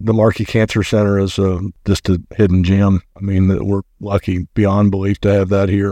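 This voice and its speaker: At a moderate pace, a man speaks in a fairly low, dark and mellow voice with monotone, flat intonation and very even loudness, the sound dry and close with no echo. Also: quiet background. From Kentucky, Lexington. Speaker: mortgage professional. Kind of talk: casual chat. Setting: studio.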